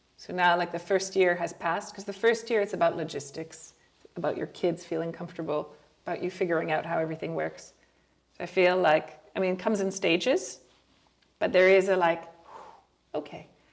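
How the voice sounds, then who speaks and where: The speech moves at a fairly quick pace with fairly even intonation, broken by long, frequent pauses. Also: woman, fairly low pitch for a woman. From French Canada (Ontario). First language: French. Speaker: podcast host. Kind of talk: casual interview conversation.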